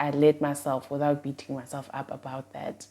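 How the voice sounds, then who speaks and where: At a moderate pace, a woman speaks in a very deep, low pitch with a dark, mellow tone, on a very clean recording with a silent background. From South Africa, Eastern Cape (Mthatha). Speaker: YouTuber. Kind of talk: casual Q&A vlog. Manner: rambling.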